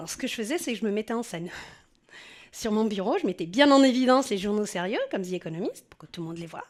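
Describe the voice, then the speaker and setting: In a southern French accent, a woman with a fairly high pitch speaks very fast with lively intonation. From southern France. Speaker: journalist. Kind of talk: personal testimony. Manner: casual, conversational.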